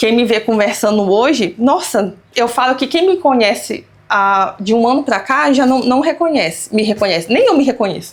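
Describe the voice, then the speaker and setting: A woman speaks at a high pitch with very even loudness. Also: lively intonation, moderate pace. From Brazil, Pará and Minas Gerais. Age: 30s. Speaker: immigrant business owner, accountant. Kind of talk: interview.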